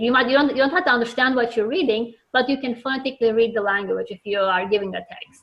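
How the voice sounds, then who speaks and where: A woman speaks with a non-native accent. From Turkey. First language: Turkish. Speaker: children's book author. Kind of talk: interview. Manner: halting, many fillers and repeats.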